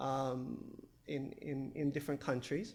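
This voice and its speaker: A man at a fairly slow pace. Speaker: academic researcher. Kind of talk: conference presentation. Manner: halting with many fillers.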